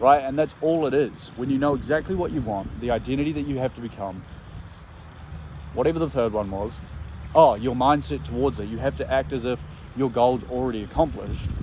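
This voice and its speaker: The man talks at a fairly quick pace and medium pitch. His intonation is lively. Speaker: vlogger. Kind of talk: motivational vlog monologue. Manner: animated; loud.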